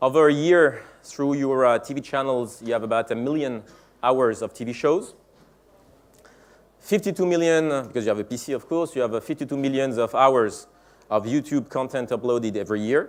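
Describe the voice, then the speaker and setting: A man with a French accent, speaking at a fairly quick pace. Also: medium pitch for a man, ordinary pitch variation. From France. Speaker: tech company executive giving keynote. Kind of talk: conference keynote speech. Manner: halting, many fillers.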